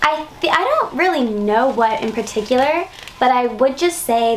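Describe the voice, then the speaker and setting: A woman at a moderate pace with ordinary pitch variation, over noticeable background noise. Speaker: pop singer. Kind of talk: interview.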